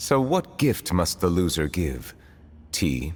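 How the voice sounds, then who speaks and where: At a fairly slow pace, a put-on character voice delivers the lines. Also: man, very deep, low pitch for a man. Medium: video game. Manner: formal, grave.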